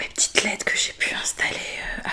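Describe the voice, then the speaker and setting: A woman whispers over noticeable background noise. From Bordeaux, France. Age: 20s. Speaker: ASMR creator. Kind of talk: ASMR skincare video. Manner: soft-spoken, relaxing.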